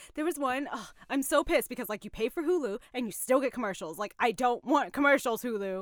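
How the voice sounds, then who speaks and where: A woman talks at a fairly quick pace in a high pitch, with an animated tone and lively intonation, on a very clean recording with a silent background. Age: 20s. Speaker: podcast co-host. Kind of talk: casual chat. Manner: animated, laughs often.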